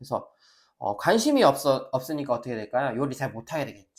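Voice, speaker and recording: A man with an energetic tone and very wide pitch swings. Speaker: professor. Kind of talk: lecture. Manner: energetic lecture delivery.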